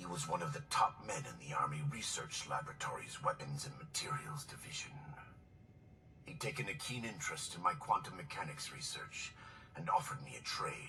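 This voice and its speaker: A man does a put-on character voice at a fairly quick pace. Clear background noise runs behind him. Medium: video game. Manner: formal, bitter.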